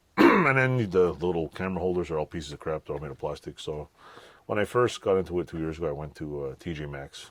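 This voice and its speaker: A man with a very deep, low pitch, ordinary pitch variation and a very fast pace. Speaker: DIY garage tinkerer and YouTuber. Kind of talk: casual product review. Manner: casual, rambling.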